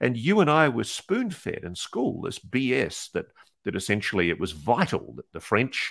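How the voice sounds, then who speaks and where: On a very clean recording with a silent background, a man with an Australian accent talks at a moderate pace with big swings in loudness. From New Zealand and Australia, born in UK. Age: 60s. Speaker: investigative journalist. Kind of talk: interview.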